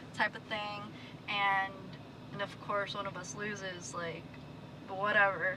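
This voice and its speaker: Against noticeable background noise, a woman with a medium pitch speaks at a fairly slow pace. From Philippines, raised in US from age 7. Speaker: passerby. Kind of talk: casual chat.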